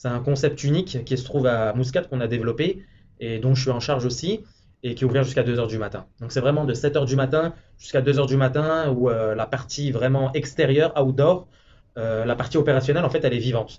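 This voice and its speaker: Talking at a very fast pace, a man sounds somewhat breathy. His medium pitch shows ordinary pitch variation. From France. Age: 20s. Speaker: hotel manager. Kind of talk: interview. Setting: office in a hotel.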